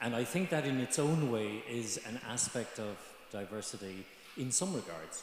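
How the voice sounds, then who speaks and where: An Irish accent with ordinary pitch variation, heard in audible room echo. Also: man. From Ireland, Galway. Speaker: student panelist. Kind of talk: panel discussion. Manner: halting.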